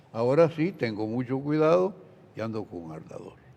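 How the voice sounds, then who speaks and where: Fairly high in pitch, a man speaks at a fairly slow pace with very wide pitch swings. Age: 90s. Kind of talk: religious talk show Q&A.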